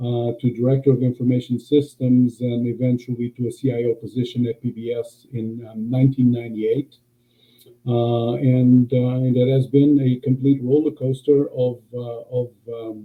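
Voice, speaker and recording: The speech moves at a moderate pace. Its intonation is monotone and flat. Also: man, medium pitch for a man. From Portugal. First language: Portuguese. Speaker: government IT executive. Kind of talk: interview. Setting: live-streamed video podcast. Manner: hesitant, many fillers.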